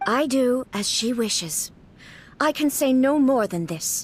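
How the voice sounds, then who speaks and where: Using a put-on character voice, a female-sounding speaker talks fairly slowly at a high pitch. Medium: video game. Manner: cold, clipped, formal.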